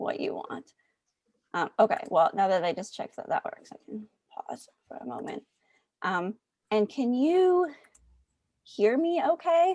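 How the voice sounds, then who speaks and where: This woman speaks at a high pitch with very wide pitch swings and long, frequent pauses, her tone dark and mellow, in a dry, close recording with no echo. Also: fairly slow pace, big swings in loudness. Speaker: mathematical epidemiology researcher, colloquium speaker. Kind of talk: casual chat. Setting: video call.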